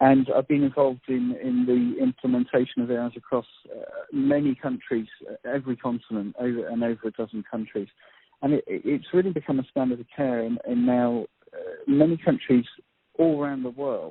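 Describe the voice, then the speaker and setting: Speaking with a British accent, a man talks at a fairly quick pace. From UK. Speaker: doctor. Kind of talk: panel discussion.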